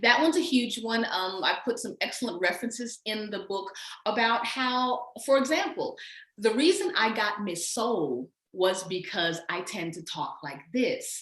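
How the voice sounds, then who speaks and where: With an American accent, a woman speaks at a fairly slow pace. Her fairly high voice makes very wide pitch swings. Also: big swings in loudness. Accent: Southern US, can switch it off. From US South. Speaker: educator and author. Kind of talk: casual chat.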